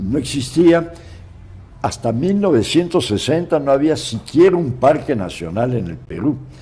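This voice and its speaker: A man speaks at a fairly slow pace with a fairly high pitch. His pitch swings very widely. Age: 80s+. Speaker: forestry scientist and entomologist. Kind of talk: interview. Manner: halting with repetitions.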